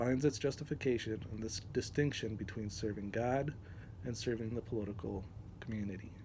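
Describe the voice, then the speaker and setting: At a fairly quick pace, a man speaks with a medium pitch, fairly even intonation, a dark, mellow tone and a somewhat breathy quality. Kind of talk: reading aloud from a text. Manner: hesitant, many fillers.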